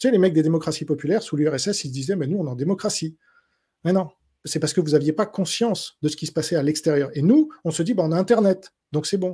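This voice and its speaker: Very fast delivery in a dark, mellow tone, with ordinary pitch variation and a quiet background. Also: man, fairly high pitch for a man. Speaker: journalist and writer; journalist. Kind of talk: interview. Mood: opinionated, assertive. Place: home room. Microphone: studio mic.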